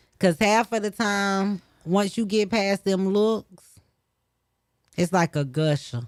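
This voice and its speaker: Speaking very slowly with long, frequent pauses, a woman with an American accent holds a medium pitch, ordinary pitch variation and very even loudness in a dry, close sound with no echo. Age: 30s. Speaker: radio host. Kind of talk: casual chat.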